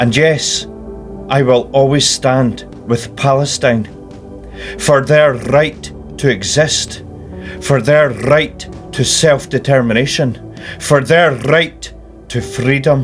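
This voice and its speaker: Over music in the background, a man of medium pitch talks at a very slow pace, his loudness very even and his pitch variation ordinary. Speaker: political activist. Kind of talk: personal spoken statement.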